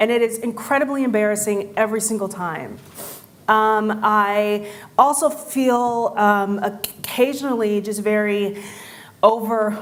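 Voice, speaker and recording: Audible room echo surrounds a woman speaking fairly slowly at a fairly high pitch with fairly even intonation. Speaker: conference speaker. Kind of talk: conference talk. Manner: halting.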